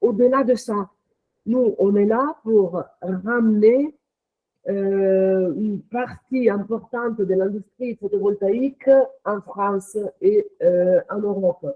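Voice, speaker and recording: This woman has a non-native accent and speaks at a very slow pace. Her pitch is medium, with ordinary pitch variation. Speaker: company executive. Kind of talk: interview. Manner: hesitant, many fillers.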